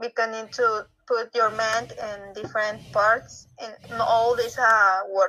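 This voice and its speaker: With a Spanish accent, the speaker talks at a fairly slow pace in monotone, flat intonation, with big swings in loudness. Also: woman, fairly high pitch for a woman. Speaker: reading club participant. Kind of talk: casual chat. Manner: halting.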